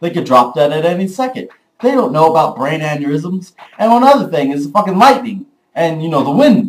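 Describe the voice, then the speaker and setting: A man with a high pitch speaks at a fairly quick pace, with very wide pitch swings. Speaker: vlogger. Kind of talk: casual vlog monologue. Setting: early morning home recording. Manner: loud; animated.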